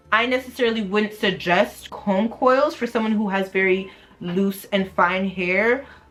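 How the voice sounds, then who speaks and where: A woman speaks at a medium pitch with ordinary pitch variation. Music plays in the background. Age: 20s. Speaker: hair vlogger. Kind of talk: casual talk to camera.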